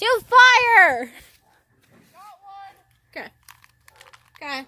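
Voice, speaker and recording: A woman with an extremely high pitch uses a raised, projected voice with very wide pitch swings and big swings in loudness. She speaks at a very slow pace with long, frequent pauses. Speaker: vlogger. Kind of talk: casual home video. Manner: animated.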